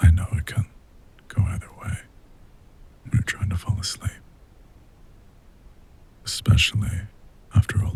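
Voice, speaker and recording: The voice is soft-spoken with a gentle tone. Its intonation is monotone and flat. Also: man. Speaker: voice actor. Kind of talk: ASMR sleep aid talk to listener. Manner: gentle, soft-spoken.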